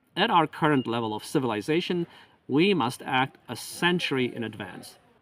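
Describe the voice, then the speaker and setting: A man's ordinary speaking voice at a medium pitch and moderate pace, lively in intonation, on a very clean recording with a silent background and a dry, close sound with no echo. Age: 50s. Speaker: independent researcher and author. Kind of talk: appeal for donations. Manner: formal.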